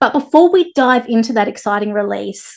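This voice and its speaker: Lively intonation at a moderate pace, in an Australian accent, against a quiet background. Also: woman. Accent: thick Australian. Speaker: interviewer. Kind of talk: interview. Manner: animated.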